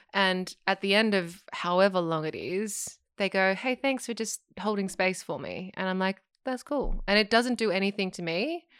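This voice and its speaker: In an Australian accent, a woman speaks at a medium pitch and moderate pace, with ordinary pitch variation and hardly any pauses. The sound is dry and close, with no echo. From Australia, Sydney. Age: 30s. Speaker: singer, actor and yoga teacher. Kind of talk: casual chat.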